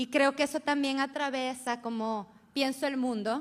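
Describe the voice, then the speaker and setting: This is a woman with an Ecuadorian accent. Her pitch varies in an ordinary way. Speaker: feminist researcher and professor. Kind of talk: conference talk.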